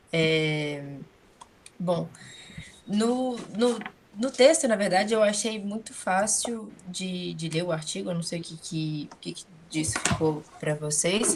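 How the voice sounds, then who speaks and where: A woman with a medium-pitched voice speaks at a very slow pace, with long, frequent pauses, lively intonation and big swings in loudness over noticeable background noise. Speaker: graduate student in study group. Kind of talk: academic discussion.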